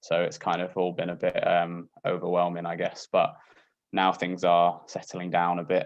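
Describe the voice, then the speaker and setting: A man with a Yorkshire accent speaks at a moderate pace. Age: 20s. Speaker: doctor and Paralympian. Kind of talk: casual talk on a video call. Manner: hesitant, many fillers.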